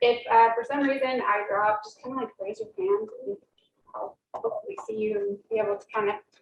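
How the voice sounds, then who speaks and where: A woman talks at a moderate pace. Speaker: workshop presenter, recent English PhD. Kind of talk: workshop talk. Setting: room with live audience. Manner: soft-spoken.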